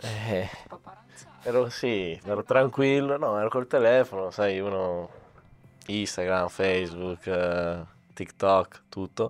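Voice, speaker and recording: At a very slow pace with long, frequent pauses, a man speaks in a fairly low pitch with ordinary pitch variation. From Sicily, Catania. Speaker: youth footballer. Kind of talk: casual interview. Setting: training center. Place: studio. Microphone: handheld.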